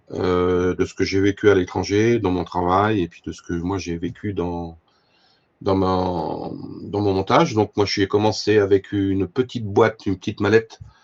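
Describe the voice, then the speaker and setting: Fairly low-pitched male speech at a fairly slow pace, with fairly even intonation. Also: big swings in loudness. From France, Allier (Moulins). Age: 60s. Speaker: fly-tying expert and fishing tackle professional. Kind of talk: talk to a club audience. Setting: club evening with audience. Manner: hesitant, many fillers and repetitions.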